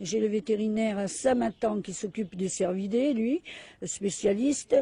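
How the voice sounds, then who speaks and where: A woman's somewhat breathy, dark, mellow voice, fairly high in pitch, with ordinary pitch variation and a fairly slow pace. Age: 70s. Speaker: animal sanctuary founder, magnetic healer. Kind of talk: interview.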